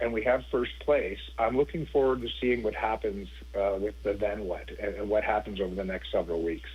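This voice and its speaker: A man with a Canadian accent speaks at a moderate pace against noticeable background noise. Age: 50s. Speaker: former football player. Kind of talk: casual chat.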